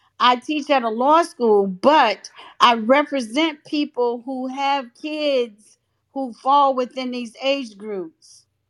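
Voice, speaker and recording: Speaking very slowly, a woman with a high voice uses ordinary pitch variation and big swings in loudness. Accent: American. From North Carolina. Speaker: law professor. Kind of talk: debate discussion.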